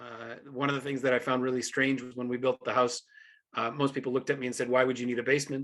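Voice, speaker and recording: Speaking in a bright, sharp tone, a man holds a medium pitch with monotone, flat intonation. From Canada, Ontario. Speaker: professor. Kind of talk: live video talk to students. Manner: halting, many fillers.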